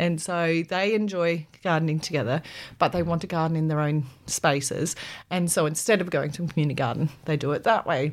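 Heard on a very clean recording with a silent background, a woman with an Australian accent speaks at a fairly quick pace. Her pitch is fairly low, with ordinary pitch variation. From South Australia, Adelaide. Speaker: PhD researcher in urban agriculture. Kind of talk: interview.

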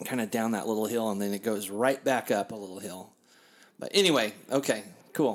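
The man sounds animated and talks at a fairly quick pace. His pitch varies in an ordinary way. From Kansas City, US Midwest. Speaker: podcast host and DJ. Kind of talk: casual chat. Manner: loud.

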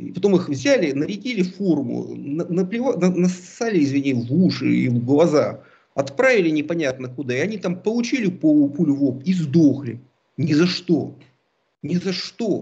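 A man's dark, mellow tone with lively intonation. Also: fairly high pitch for a man, moderate pace. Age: 40s. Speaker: political analyst. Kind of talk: casual chat.

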